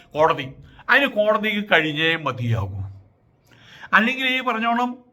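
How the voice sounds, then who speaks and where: This is a man's voice. His pitch sits high. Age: 70s. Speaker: social commentator. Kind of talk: opinion monologue.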